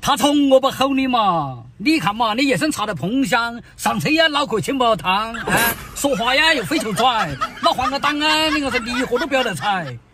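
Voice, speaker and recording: Raised and projected, a man's extremely high-pitched voice comes through in a Sichuan accent with lively intonation at a moderate pace, in a dry sound with no echo and light background noise. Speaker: comic husband scolding wife. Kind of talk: comedy sketch dialogue. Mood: exasperated, mock-scolding. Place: car.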